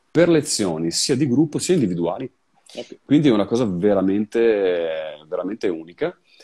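Fairly low in pitch with a dark, mellow tone, a man's voice swings very widely in pitch and shows big swings in loudness. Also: moderate pace. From Vicenza, Veneto, Italy; Veneto, Italy. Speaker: session guitarist and guitar teacher; guitar teacher. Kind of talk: casual interview. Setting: video call from his music studio. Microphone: video call.

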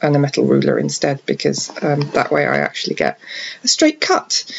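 A quiet woman's voice over noticeable background noise. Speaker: card crafter. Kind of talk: craft tutorial voice-over. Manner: quiet, hushed; hesitant, many fillers.

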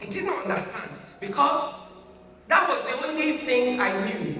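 Against clear music in the background and audible room echo, a woman with a Nigerian accent speaks at a moderate pace, her pitch swinging very widely. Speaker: pastor. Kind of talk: heartfelt eulogy at a church memorial service. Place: church.

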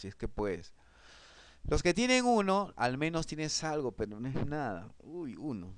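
A man speaks at a fairly slow pace with a fairly high pitch and very wide pitch swings, over a quiet background. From Peru. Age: 40s. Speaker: online course instructor; presenter. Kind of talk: online class lecture; lecture. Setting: live online broadcast. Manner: halting, frequent repetitions and fillers. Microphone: webcam.

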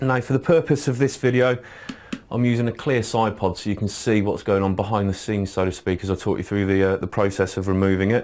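This man talks at a very fast pace. His pitch sits fairly low. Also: ordinary pitch variation. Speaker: shop staff demonstrator. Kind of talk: tutorial. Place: studio.

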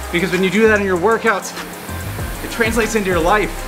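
This man talks at a fairly quick pace in a high pitch, his intonation monotone and flat. Clear music plays in the background. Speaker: rowing coach. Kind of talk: workout coaching talk. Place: gym.

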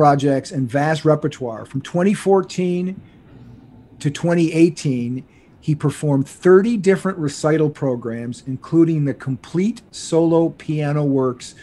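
The speaker goes at a fairly slow pace with ordinary pitch variation. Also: man. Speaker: podcast host. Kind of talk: reading a guest introduction. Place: home room. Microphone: studio mic.

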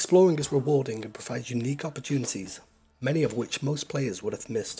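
Music behind a man's medium-pitched voice at a very fast pace, with ordinary pitch variation. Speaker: video game commentator. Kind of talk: video essay narration.

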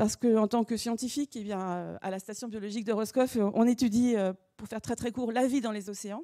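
A woman with a dark, mellow tone speaks at a fairly quick pace with ordinary pitch variation, the background quiet. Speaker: research institute director. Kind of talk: formal welcome speech. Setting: lecture hall with audience. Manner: hesitant. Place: hall. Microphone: handheld.

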